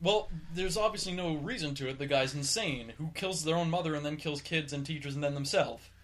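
Talking very fast with hardly any pauses, a man with a fairly high pitch and ordinary pitch variation is heard over noticeable background noise. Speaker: podcast co-host. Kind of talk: casual banter, comedy podcast.

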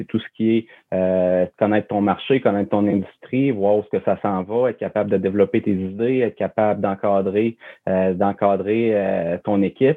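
Here is a man with an unremarkable speaking voice. His pitch is fairly low and his intonation fairly even. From Quebec, Charlevoix (Baie-Saint-Paul). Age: 30s. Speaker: campground manager. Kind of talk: interview conversation.

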